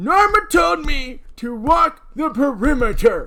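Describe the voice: A man's put-on character voice, raised and projected, at an extremely high pitch with very wide pitch swings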